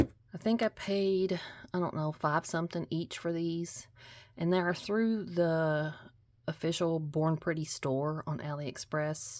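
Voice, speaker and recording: Speaking very slowly with a Kentucky accent, a woman at a fairly low pitch uses ordinary pitch variation on a very clean recording with a silent background. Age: 40s. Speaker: nail art youtuber. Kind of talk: casual haul video talk. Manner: casual, hesitant with fillers.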